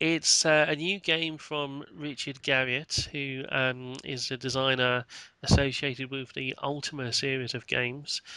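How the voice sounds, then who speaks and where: Monotone, flat intonation from a man at medium pitch, with a bright, sharp tone and a fairly slow pace. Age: middle-aged. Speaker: webcast host. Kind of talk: casual chat. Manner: halting, many fillers.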